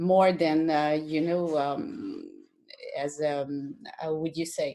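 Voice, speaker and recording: Very slowly and in a monotone, flat intonation, a woman with a very deep, low voice speaks with a French accent. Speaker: colorist. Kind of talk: casual conversation. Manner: halting, hesitant.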